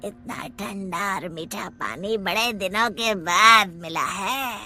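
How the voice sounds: A cartoonish character voice at a middle pitch moves at a very slow pace. Clear background noise can be heard.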